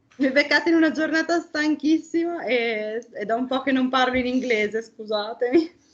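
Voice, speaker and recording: Speaking in an Italian accent, a woman with a high pitch talks at a fairly quick pace, with ordinary pitch variation and hardly any pauses. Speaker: game artist. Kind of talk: interview. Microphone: connectivity issues.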